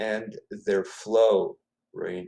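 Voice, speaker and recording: A man with a Spanish accent and a medium-pitched voice. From Ecuador (Quito). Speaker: author, poet. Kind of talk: interview. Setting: live video stream.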